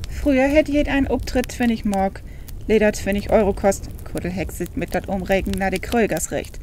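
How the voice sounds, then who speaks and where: At a moderate speed, a woman talks while noticeable background noise continues. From Northern Germany.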